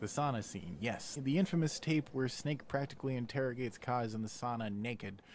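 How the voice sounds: Pitched at a medium level, a man speaks at a moderate pace with ordinary pitch variation and a slightly mellow tone.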